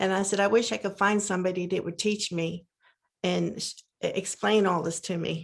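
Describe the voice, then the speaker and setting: Here a woman speaks at a moderate pace and a medium pitch. Her intonation is monotone and flat, with vocal fry. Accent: American. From Pennsylvania, US. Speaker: near-death experiencer. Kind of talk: casual conversation, testimony.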